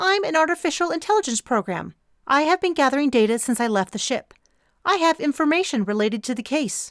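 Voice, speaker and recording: In a robotic, put-on character voice, a female-sounding speaker rattles off lines at a very fast pace and a high pitch. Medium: read story. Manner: formal, deliberate.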